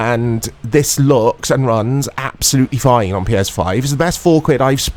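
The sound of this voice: An unforced reading voice carries the words.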